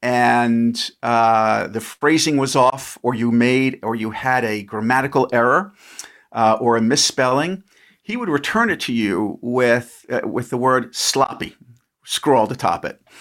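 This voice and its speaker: A man's medium-pitched voice with a New York accent, fairly slow, with ordinary pitch variation. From New York, Long Island. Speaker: former congressman. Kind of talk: interview. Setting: remote call.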